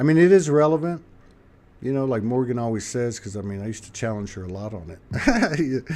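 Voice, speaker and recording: With an American accent, an unremarkable speaking voice moves at a fairly quick pace, its intonation lively and its loudness swinging widely. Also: man, medium pitch for a man. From South Texas. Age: 60s. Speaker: livestream show host. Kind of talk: casual chat.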